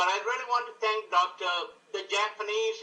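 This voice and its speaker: A man's high, raised, projected voice at a moderate pace. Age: 60s. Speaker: customer giving testimonial. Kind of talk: testimony.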